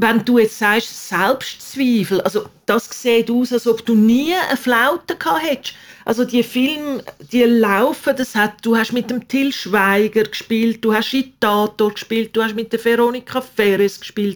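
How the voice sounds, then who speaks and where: With an unremarkable speaking voice, a woman talks at a fairly slow pace, her pitch fairly high and ordinarily varied. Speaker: podcast host. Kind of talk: interview. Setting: video call.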